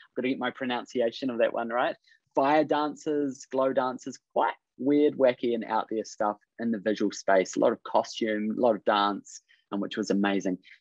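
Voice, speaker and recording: A man with a medium pitch talks at a moderate pace with ordinary pitch variation. The sound is dry with no echo, and the background is quiet. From New Zealand. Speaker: creative business coach. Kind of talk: webinar presentation. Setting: video call. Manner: upbeat. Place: home room. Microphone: video call.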